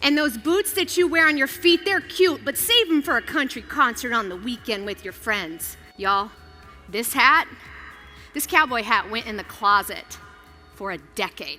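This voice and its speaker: Music plays behind an energetic woman with an American accent, whose high pitch swings very widely and whose loudness rises and falls a lot. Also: moderate pace. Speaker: keynote speaker and television host. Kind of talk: motivational keynote speech. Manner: energetic, conversational, stage delivery to a live audience.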